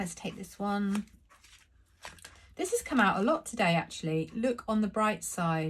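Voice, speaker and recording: A woman speaks at a moderate pace with a medium pitch and a somewhat breathy voice. Long, frequent pauses break up her speech. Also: lively intonation. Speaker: tarot reader. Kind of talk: tarot reading.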